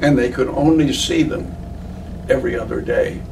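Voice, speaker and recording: There is audible room echo and noticeable background noise around a man's voice. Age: 90s. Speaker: war veteran. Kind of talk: interview. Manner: halting.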